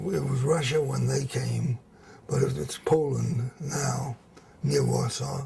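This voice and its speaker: Man with an American accent at a fairly slow pace, amid noticeable background noise. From US South, New Orleans. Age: 80s+. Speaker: interviewee, civic figure. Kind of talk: oral history interview. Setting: at home. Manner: halting.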